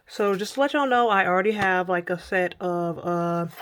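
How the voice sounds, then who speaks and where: Here a woman is speaking. Her pitch sits in the medium range. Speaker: art supply reviewer YouTuber. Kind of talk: product review vlog. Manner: casual, chatty.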